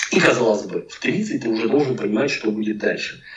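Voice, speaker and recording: A man's voice with very wide pitch swings. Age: 40s. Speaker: packaging designer. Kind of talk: casual interview chat.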